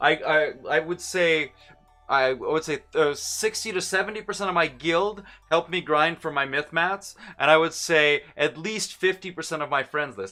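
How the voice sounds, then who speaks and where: A man with a slight Russian accent, a bright, sharp tone, fairly high pitch, ordinary pitch variation and a moderate pace. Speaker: gaming streamer. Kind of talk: live stream chat.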